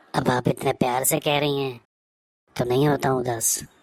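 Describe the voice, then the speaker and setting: Cartoonish character voice at a low-to-middle pitch, fairly quick, in a monotone, flat delivery. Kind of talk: comic sketch.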